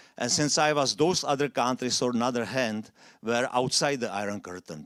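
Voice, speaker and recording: Speaking with a non-native accent, a man talks at a medium pitch and a fairly quick pace with ordinary pitch variation, on a very clean recording with a silent background. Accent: foreign accent, noticeable. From Czechoslovakia. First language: Czech or Slovak. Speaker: immigrant speaker. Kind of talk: public talk.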